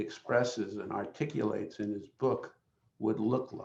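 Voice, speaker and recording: Vocal fry runs through a man's speech, which keeps a moderate pace and fairly even intonation. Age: 70s. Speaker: human rights lawyer, webinar panelist. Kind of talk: panel discussion. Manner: halting, many fillers.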